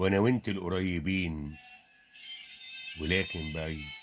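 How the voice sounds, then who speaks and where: A man speaks with an Egyptian accent in a very deep, low voice. Music plays in the background. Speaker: poet. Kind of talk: poetry reading. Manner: emotional, sorrowful.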